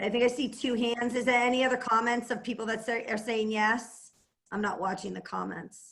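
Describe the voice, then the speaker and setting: A woman speaks fairly quickly with a Boston accent. Her fairly high voice stays flat and monotone. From Massachusetts, Boston area (Plymouth). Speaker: entrepreneur and network marketer. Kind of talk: team call talk and how-to. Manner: fast.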